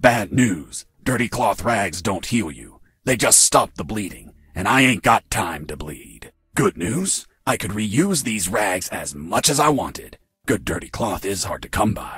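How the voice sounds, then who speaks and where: A man uses a cartoonish character voice, fairly low-pitched for a man, with lively intonation. His pace is moderate and his loudness swings widely. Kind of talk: hard-boiled voice-over parody. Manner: deadpan, gruff.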